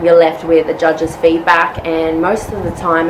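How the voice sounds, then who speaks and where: A woman with an Australian accent speaks in a fairly low pitch amid noticeable background noise. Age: 20s. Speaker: nurse and bikini fitness competitor. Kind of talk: casual vlog talk to camera. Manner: hesitant, many fillers.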